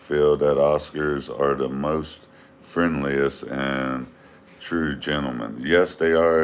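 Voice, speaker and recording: A man with an American accent, very deep and low in pitch, at a fairly slow pace with fairly even intonation, over noticeable background noise. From US, Northern Virginia. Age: 40s. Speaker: fishkeeping livestreamer. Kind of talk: casual livestream chat. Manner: halting, many fillers.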